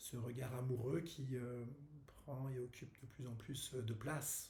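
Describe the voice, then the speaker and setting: Somewhat breathy with a dark, mellow tone, the voice keeps fairly even intonation amid audible room echo. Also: man, medium pitch for a man, fairly slow pace. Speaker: wellness workshop host. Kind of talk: casual video announcement. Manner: halting, many fillers.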